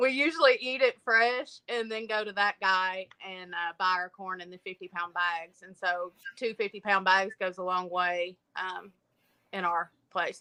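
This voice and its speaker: A woman speaks in a strong Appalachian accent at a fairly slow pace, her tone bright and sharp. Her loudness swings widely while her pitch varies in an ordinary way, and the sound is dry and close with no echo. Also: medium pitch for a woman. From eastern Kentucky, Appalachia. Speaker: homesteader. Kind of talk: casual chat. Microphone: too quiet.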